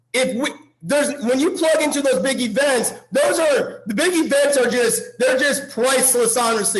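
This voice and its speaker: Loud and animated, the voice moves at a moderate pace with ordinary pitch variation over noticeable background noise. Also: man. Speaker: motivational speaker. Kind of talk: motivational talk.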